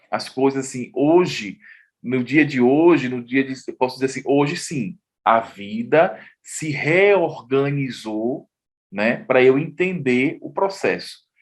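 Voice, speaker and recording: Very slow speech from a man of medium pitch with lively intonation, over a quiet background. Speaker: journalist and artist. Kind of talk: interview testimony.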